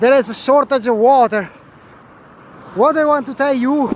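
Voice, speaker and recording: The voice is loud, with ordinary pitch variation. Noticeable background noise runs underneath. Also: man. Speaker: video blogger. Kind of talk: walking vlog reportage. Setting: outdoors on a bridge. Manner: halting.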